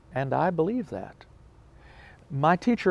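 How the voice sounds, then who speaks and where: The speech moves at a moderate pace. It comes in a Southern US accent. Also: man. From US South, Mississippi. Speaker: professor. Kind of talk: interview. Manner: hesitant with fillers.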